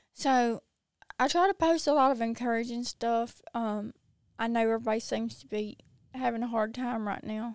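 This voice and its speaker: With a strong Mississippi accent, a woman talks at a moderate pace with a fairly high pitch and ordinary pitch variation. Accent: strong Southern US (Mississippi). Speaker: social media creator. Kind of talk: casual interview chat.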